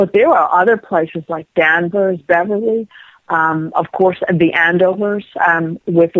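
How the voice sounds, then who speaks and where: A woman's unremarkable speaking voice with an American accent, fairly low in pitch, fairly even and fairly slow, in a dry, close sound with no echo. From Rhode Island, US. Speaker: psychic medium. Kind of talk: interview.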